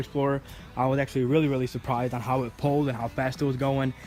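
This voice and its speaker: The speech comes at a very fast pace in a monotone, flat delivery. Music plays in the background. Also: man. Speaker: car vlogger. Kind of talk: casual vlog monologue. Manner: casual, repetitive filler phrases.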